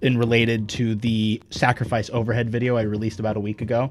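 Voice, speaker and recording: This is a man speaking. His voice sits at a medium pitch. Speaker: gaming video creator and interviewer. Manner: stammering, talks over himself.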